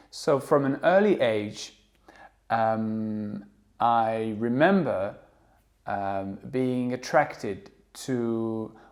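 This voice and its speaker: Speaking with a French accent, a man goes at a very slow pace in a medium pitch with ordinary pitch variation. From France. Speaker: English teacher. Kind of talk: monologue. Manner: hesitant with fillers.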